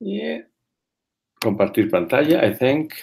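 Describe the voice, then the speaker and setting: A man speaks with a Spanish accent. His pitch swings very widely. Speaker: community health advocate, webinar presenter. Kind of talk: webinar presentation. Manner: halting, with frequent fillers.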